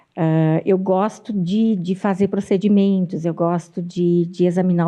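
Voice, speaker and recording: A woman speaks with a dark, mellow tone at a fairly low pitch and a fairly slow pace. The background is quiet. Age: 60s. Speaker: pediatrician. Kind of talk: interview. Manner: halting.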